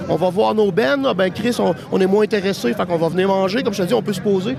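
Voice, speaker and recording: With a Quebec accent, a man talks at a very fast pace in a high pitch, his intonation lively over noticeable background noise. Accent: Québécois. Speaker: festival-goer. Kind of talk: casual interview.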